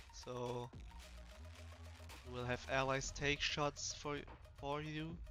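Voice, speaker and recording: A man talks at a fairly slow pace with fairly even intonation while music plays in the background. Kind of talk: game review voiceover. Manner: monotone.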